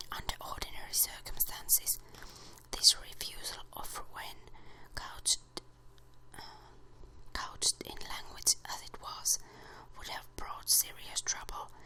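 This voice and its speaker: Whispering at a fairly slow pace, the voice breaks with long, frequent pauses. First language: Finnish. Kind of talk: ASMR book reading. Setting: close to the microphone. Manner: whispered.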